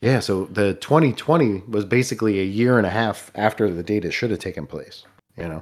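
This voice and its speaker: On a very clean recording with a silent background, a man with a plain, everyday voice speaks at a fairly low pitch and a moderate pace, with ordinary pitch variation. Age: 40s. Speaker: drummer. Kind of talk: casual chat.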